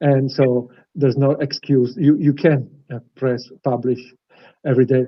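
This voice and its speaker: Monotone, flat intonation at a moderate pace with long, frequent pauses. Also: man, medium pitch for a man. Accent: non-native. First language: not English. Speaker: interviewer. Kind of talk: interview. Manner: halting.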